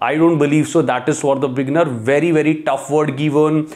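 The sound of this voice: With a fairly high pitch and a slightly mellow tone, a man talks at a moderate pace with fairly even intonation.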